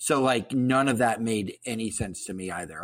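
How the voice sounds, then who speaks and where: An unremarkable speaking voice, with ordinary pitch variation. The recording is very clean and the background silent. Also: man. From Columbus, Ohio, US Midwest. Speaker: guest podcast host. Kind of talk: casual chat.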